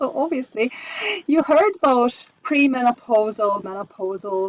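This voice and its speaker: A woman with a Hungarian accent speaks at a fairly slow pace in a high voice with very wide pitch swings, the sound dry and close with no echo. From Hungary. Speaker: homeopath and coach. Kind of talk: online masterclass presentation. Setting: live online session. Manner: halting, with fillers.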